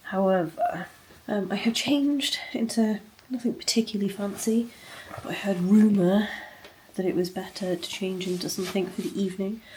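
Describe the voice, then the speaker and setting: A woman speaks with a British accent and ordinary pitch variation. There is noticeable background noise. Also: medium pitch for a woman, moderate pace. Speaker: bookshop owner and vlogger. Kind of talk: casual vlog talk to camera. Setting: hotel room. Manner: quiet, hushed.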